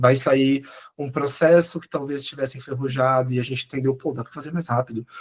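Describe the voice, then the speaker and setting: A man talks at a very fast pace. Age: 20s. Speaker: Gen Z researcher and journalist. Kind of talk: casual podcast conversation. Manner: animated.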